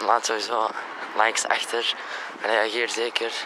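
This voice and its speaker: A man speaks at a very slow pace. Background noise is noticeable. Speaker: fitness vlogger. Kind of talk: casual vlog chat. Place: street. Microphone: phone near.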